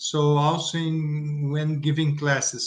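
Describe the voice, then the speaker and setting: The speaker has a Portuguese accent. The pace is very slow. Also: man. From Brazil. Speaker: teacher. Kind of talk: panel discussion. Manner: halting.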